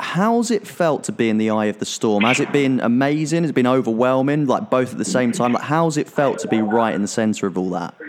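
A man of medium pitch talks at a fairly quick pace with lively intonation and hardly any pauses. Noticeable background noise is present. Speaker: magazine podcast host. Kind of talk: interview intro and chat. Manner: enthusiastic, animated.

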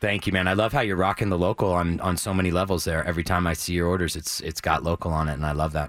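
Talking at a very fast clip, a man with an American accent has a very deep, low pitch and fairly even intonation. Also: hardly any pauses. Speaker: food radio co-host. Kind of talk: casual radio chat.

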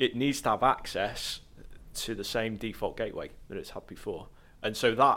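In a very clean recording with a silent background, a man with a plain, everyday voice talks at a medium pitch and a moderate pace, his intonation fairly even. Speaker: network systems engineer. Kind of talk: casual chat.

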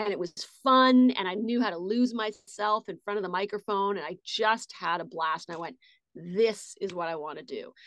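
A woman speaks at a moderate pace in an ordinary speaking voice at medium pitch. Her pitch variation is ordinary, while her loudness swings widely. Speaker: voice actress. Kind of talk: casual interview chat.

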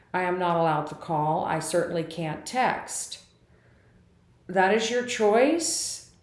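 A woman talks with lively intonation, her words carrying audible room echo. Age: 60s. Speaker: podcaster. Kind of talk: personal monologue. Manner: animated.

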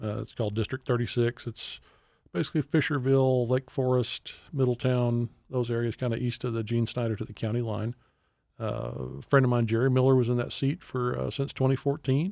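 A man with an American accent speaks fairly quickly at a medium pitch, his tone dark and mellow. The sound is dry and close with no echo, in a very clean recording with a silent background. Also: fairly even intonation. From Texas. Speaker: political candidate. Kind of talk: interview.

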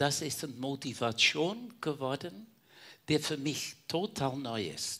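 A man's fairly high, bright, sharp voice at a very slow pace, with lively intonation, on a very clean recording with a silent background. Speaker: caregiver, church member. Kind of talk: personal testimony in panel talk.

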